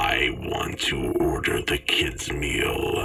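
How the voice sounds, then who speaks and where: A man does a croaky, put-on character voice at an extremely high pitch, speaking at a fairly slow pace with a slight echo. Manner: demanding.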